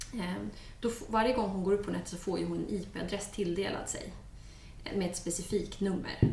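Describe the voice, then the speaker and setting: Noticeable background noise and audible room echo behind a woman at medium pitch, moderate pace, and fairly even intonation. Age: 30s. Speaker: criminologist. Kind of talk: casual chat.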